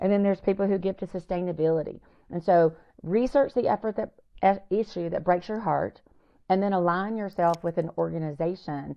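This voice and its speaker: A woman with a Southern US accent talks at a fairly quick pace in a fairly low pitch. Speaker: nonprofit founder. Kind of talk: podcast interview. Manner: animated.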